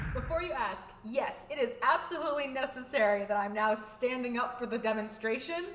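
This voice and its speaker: A woman talks at a fairly quick pace and high pitch, with ordinary pitch variation and hardly any pauses. Audible room echo and noticeable background noise are present. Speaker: YouTuber. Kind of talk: vlog monologue. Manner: animated, louder than usual for video.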